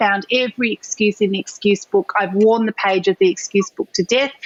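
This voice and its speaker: A woman's fairly quick speech carries ordinary pitch variation, with noticeable background noise around it. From Thailand, Indian family. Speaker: entrepreneur and talk show host. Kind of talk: podcast interview. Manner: animated.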